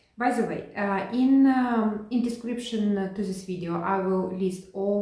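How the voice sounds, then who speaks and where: Noticeable background noise and audible room echo surround a woman's voice. She speaks at a fairly slow pace and medium pitch with ordinary pitch variation. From Ukraine. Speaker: cross-stitch video creator. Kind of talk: casual hobby vlog. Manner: halting, many fillers and restarts.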